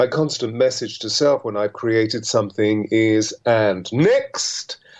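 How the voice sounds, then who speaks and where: A man uses an ordinary speaking voice at medium pitch and a fairly slow pace. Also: fairly even intonation. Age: 60s. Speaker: author and coach to public figures. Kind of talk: interview on radio. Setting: radio studio.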